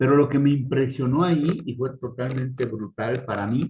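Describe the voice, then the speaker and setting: A man's somewhat breathy voice at a fairly slow pace. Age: 60s. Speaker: geopolitics panelist. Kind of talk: casual panel discussion. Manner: animated.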